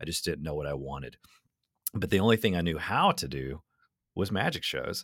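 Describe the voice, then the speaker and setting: Vocal fry runs through a man's lively intonation at a fairly quick pace. The recording is very clean with a silent background. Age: 30s. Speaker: magician and storyteller. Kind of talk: casual chat.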